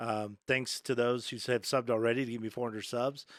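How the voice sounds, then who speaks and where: Talking at a very fast pace and medium pitch, a man is heard in a very clean recording with a silent background. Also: dry, close sound with no echo. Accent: Texas. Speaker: gaming youtuber. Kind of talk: tutorial. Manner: many fillers (um, uh); casual, upbeat.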